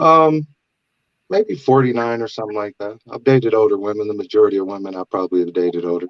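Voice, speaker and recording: An American-accented man talks at a very fast pace with a fairly low pitch and big swings in loudness. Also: ordinary pitch variation. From US West Coast. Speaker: truck broker, dating show participant. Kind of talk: casual chat.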